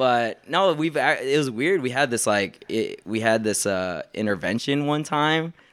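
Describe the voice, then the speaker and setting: A man with an unremarkable speaking voice and medium pitch talks at a fairly slow pace with lively intonation, very even loudness and hardly any pauses, in a very clean recording with a silent background. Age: 20s. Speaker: boba truck owner. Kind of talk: casual chat.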